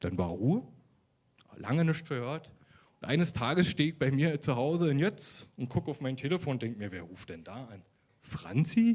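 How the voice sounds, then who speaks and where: Speaking at a moderate pace with a fairly high pitch and vocal fry, a man swings very widely in pitch and makes big swings in loudness. He leaves long, frequent pauses on a very clean recording with a silent background. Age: 30s. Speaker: social worker giving faith testimony. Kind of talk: testimony interview. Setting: church service with congregation.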